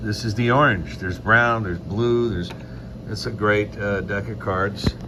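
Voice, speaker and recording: With lively intonation and a fairly low pitch, a man speaks amid noticeable background noise and audible room echo. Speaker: magician and mentalist. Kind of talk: casual chat. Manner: loud, projecting.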